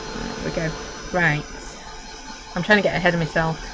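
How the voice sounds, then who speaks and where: Noticeable background noise is present. The talking moves fairly quickly. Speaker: crafter. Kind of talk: live craft tutorial. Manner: chatty, casual.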